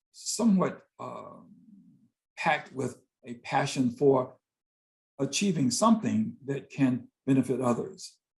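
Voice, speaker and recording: A man's dark, mellow, somewhat breathy voice with an American accent. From US South, Greensboro, North Carolina. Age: 60s. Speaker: visual artist and poet. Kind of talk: interview conversation.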